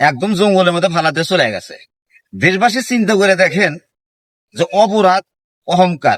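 A man with a high voice is heard in a dry, close recording with no echo. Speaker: vlogger. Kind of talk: monologue.

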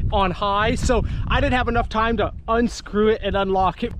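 A man's high-pitched voice, dry with no echo, amid noticeable background noise. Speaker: fishing vlogger. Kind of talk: casual vlog chat. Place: boat. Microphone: phone near.

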